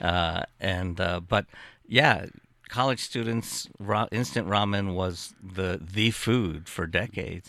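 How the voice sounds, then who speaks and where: Very clean and silent in the background, the recording has a man with a fairly low pitch and a bright, sharp tone speaking at a very slow pace with ordinary pitch variation. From born in Japan, Japanese-American family. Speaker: food writer. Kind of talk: casual chat.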